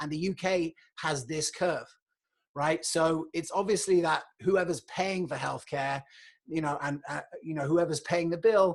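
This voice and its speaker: A man speaks in a British accent at a high pitch. His intonation stays fairly even. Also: fairly slow pace, quiet background. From England. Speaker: podcast host, health economist. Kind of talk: solo livestream monologue. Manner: conversational, filler-heavy.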